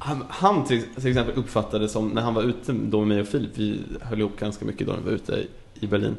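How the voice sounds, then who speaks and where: This man talks at a fairly quick pace in a fairly low pitch. His intonation stays fairly even. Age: 20s. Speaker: podcast guest. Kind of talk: casual chat.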